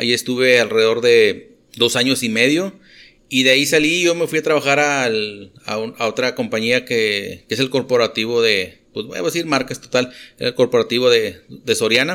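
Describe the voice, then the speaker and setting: In a northern Mexican accent, a man speaks at a moderate pace with a bright, sharp tone. The recording is very clean, with a silent background. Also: medium pitch for a man, ordinary pitch variation. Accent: northern Mexican (regio) Spanish. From Monterrey, northern Mexico. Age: 40s. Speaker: industrial operations manager. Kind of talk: casual chat. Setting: cantina.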